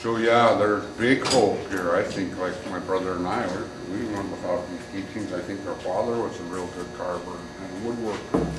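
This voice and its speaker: At a moderate pace, a man talks with a fairly low pitch and ordinary pitch variation. There is audible room echo and noticeable background noise. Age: 60s. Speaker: Haida apprentice carver. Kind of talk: interview monologue.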